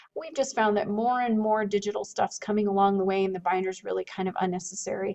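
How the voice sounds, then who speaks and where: A woman with a medium-pitched voice talks at a very fast pace with ordinary pitch variation over noticeable background noise. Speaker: middle school teacher. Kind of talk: recorded classroom syllabus talk. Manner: friendly, conversational.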